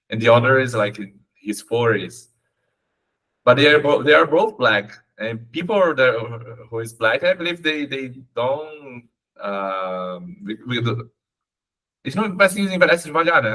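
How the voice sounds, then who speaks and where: A man with a Portuguese accent speaks at a moderate pace in a medium pitch, his pitch swinging very widely and his loudness rising and falling sharply, with long, frequent pauses. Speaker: English learner. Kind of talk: conversational English lesson. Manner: halting.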